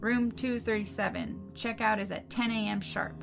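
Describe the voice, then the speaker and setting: Someone uses a fairly high put-on character voice at a moderate pace, with clear music in the background. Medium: read story. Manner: curt.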